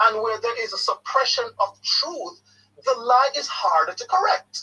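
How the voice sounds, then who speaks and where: Raising and projecting his voice, a man speaks at a fairly slow pace in an extremely high pitch, with a bright, sharp tone and lively intonation. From Jamaica. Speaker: caller. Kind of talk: call-in discussion. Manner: repetitive stammering on words.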